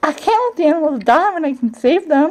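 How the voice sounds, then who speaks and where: In a put-on character voice, a woman squeaks at a high pitch and a fairly quick pace. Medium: read story. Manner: warm, gentle.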